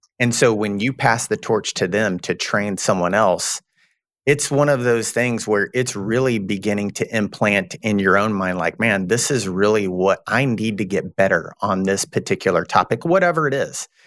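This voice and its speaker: On a very clean recording with a silent background, a man speaks with a Texan accent at a moderate pace. His fairly low voice shows ordinary pitch variation in a dry, close sound with no echo. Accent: Texan Southern US. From Texas. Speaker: recruitment firm partner. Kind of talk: interview.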